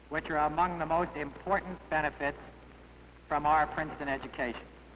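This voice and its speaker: Amid noticeable background noise, a man talks at a fairly quick pace and fairly high pitch. His intonation is monotone and flat. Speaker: alumni association president. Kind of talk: formal speech to students.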